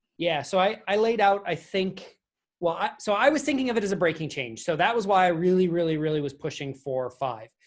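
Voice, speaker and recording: The speech moves at a fairly quick pace on a very clean recording with a silent background. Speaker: software developer, technical committee member. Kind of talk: technical team meeting discussion. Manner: fast.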